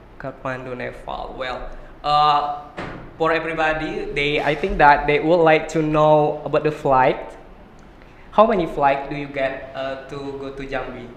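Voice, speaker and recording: A man speaks with an Indonesian accent in a fairly high pitch. Audible room echo surrounds his voice. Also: fairly even intonation, fairly slow pace. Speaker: podcast host. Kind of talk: interview.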